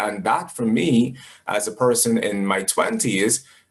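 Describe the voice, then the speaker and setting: A man talks in a normal speaking voice at a medium pitch, with ordinary pitch variation. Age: 20s. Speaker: podcast host. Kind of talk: interview.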